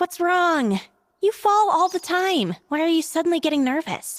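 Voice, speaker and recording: Squeaky and extremely high in pitch, this put-on character voice moves at a moderate pace. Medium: video game. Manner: dry, teasing.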